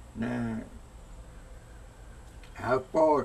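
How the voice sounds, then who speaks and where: A man speaks with an American accent. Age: 80s+. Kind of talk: interview answer.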